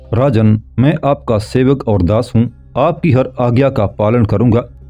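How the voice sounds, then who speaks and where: A man uses a put-on character voice at a medium pitch, shaky and at a fairly slow pace. Music plays in the background. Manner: fearful, submissive.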